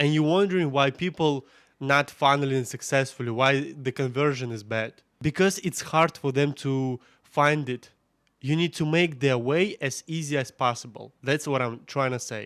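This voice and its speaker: A man's fairly high-pitched voice at a moderate pace, with ordinary pitch variation, on a very clean recording with a silent background. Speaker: OnlyFans agency owner / marketing coach. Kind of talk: tutorial. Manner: casual, conversational.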